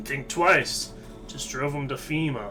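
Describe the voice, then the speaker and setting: The speaker uses a put-on character voice at a moderate pace. Loud background noise runs throughout. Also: man. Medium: game stream. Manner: casual slangy, swears, says pal.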